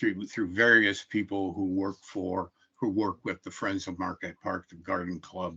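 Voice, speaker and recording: A man's very deep, low voice with a bright, sharp tone and a Midwestern US accent, at a fairly slow pace against a quiet background. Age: 70s. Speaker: public hearing commenter, retired carpenter. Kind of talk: public testimony at a hearing. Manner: halting with frequent fillers.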